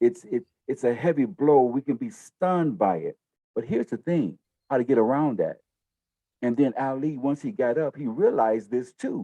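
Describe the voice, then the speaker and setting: A man's dark, mellow voice with lively intonation at a moderate pace, in a dry, close sound with no echo. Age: 60s. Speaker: talk show co-host, minister. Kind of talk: discussion talk show. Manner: animated.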